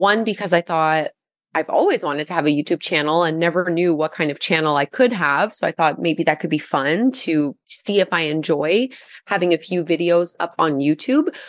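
Speaking at a moderate pace in a normal speaking voice, a woman with a fairly low pitch and ordinary pitch variation is heard in a dry, close recording with no echo against a quiet background. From Gatineau, Quebec, Canada. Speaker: yoga teacher and YouTuber. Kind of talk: interview.

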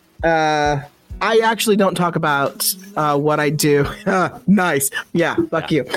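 With music playing in the background, a man with a fairly high pitch speaks at a fairly slow pace with ordinary pitch variation. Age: 30s. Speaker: podcast host. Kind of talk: casual chat. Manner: casual, profane, laughing.

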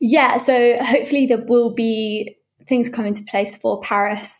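A woman talks at a fairly slow pace in a fairly high pitch with vocal fry. Her intonation is fairly even. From Southwest England, Devon. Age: 20s. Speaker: pro surfer. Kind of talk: interview.

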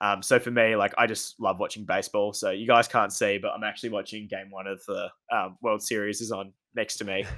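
On a very clean recording with a silent background, a man with a bright, sharp tone speaks at a fairly quick pace in a monotone, flat intonation. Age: 20s. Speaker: sports administrator and masters student. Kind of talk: interview.

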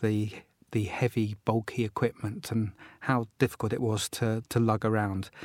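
A man, recorded with a dry, close sound with no echo, on a very clean recording with a silent background. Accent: southern English. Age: 60s. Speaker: postcard collector and dealer. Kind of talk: casual chat.

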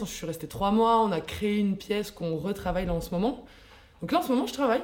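A woman's medium-pitched voice at a very fast pace, ordinary pitch variation, and noticeable background noise. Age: 20s. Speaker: dancer and yoga teacher. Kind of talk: casual chat.

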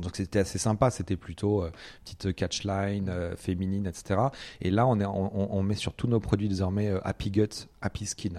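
A man speaks at a moderate pace with a dark, mellow tone at a fairly low pitch. His intonation is monotone and flat, on a very clean recording with a silent background. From Brittany, rural France. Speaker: startup co-founder. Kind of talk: interview. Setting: at home. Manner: hesitant, many fillers.

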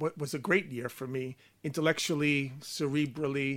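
This man has a slight Long Island accent and a bright, sharp tone. He keeps a moderate pace and fairly even intonation on a very clean recording with a silent background. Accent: Long Island New York, slight. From Long Island, US. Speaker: art writer and curator. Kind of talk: casual interview chat. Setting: studio.

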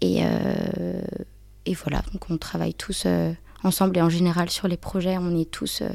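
A woman talks at a fairly slow pace. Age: 20s. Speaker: UX design apprentice. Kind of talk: casual interview. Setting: in person. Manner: halting.

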